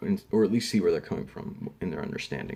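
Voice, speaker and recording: At a fairly quick pace, a man talks in an American accent. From Arizona. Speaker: education student presenting a lesson plan. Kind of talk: casual class presentation. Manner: halting, many fillers.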